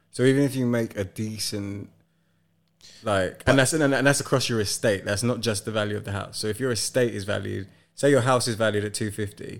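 A man with a British accent and fairly low pitch speaks at a fairly quick pace on a very clean recording with a silent background. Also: fairly even intonation. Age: 30s. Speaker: podcast host. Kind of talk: casual chat. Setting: living room.

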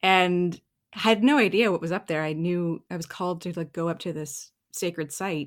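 A woman's normal speaking voice with a Canadian accent, fairly low pitch, ordinary pitch variation and a moderate pace, in a very clean recording with a silent background. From Canada. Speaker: writer and yoga teacher. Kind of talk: casual interview.

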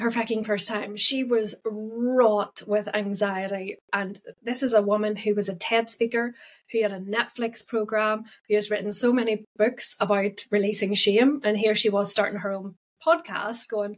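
In an Irish accent, a woman speaks at a fairly high pitch and moderate pace with monotone, flat intonation. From Ireland. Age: 40s. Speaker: podcast host. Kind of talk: solo podcast talk.

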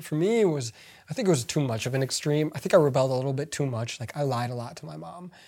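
The recording is very clean with a silent background as a man talks at a medium pitch. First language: not English. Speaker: podcast co-host. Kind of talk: casual chat. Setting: home basement.

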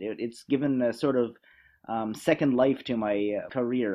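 A man speaks at medium pitch in a Canadian accent. His pace is moderate and his pitch variation ordinary. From western Canada, near Vancouver. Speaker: travel journalist and radio host. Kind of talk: interview conversation. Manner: halting, frequent repetitions.

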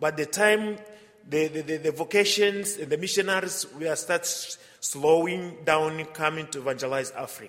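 Someone with a Tanzanian accent speaks at a moderate pace with ordinary pitch variation. Noticeable background noise is present. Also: man. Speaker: visiting missionary priest. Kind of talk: homily with personal anecdotes. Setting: church. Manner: humorous, warm.

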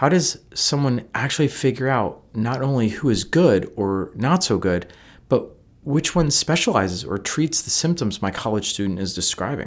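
On a very clean recording with a silent background, a man with an American accent makes very wide pitch swings. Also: medium pitch for a man. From US Northeast. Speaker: licensed mental health counselor and podcast host. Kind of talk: scripted narration. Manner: fast.

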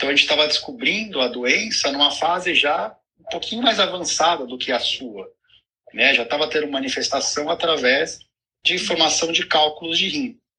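Fairly high in pitch, a man talks in an unremarkable speaking voice. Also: moderate pace. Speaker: urologist. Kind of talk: live video chat.

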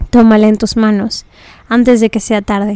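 A fairly high-pitched woman, dark and mellow in tone, at a moderate pace in a monotone, flat delivery. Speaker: personal growth podcast host. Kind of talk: reading aloud from journal.

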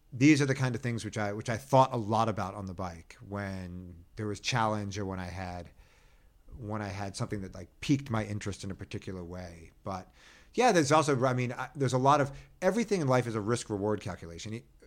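A man's fairly low voice at a very fast pace, with ordinary pitch variation and big swings in loudness, in a very clean recording against a silent background. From US Northeast, Philadelphia. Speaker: birder and bike-trip adventurer. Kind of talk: interview conversation.

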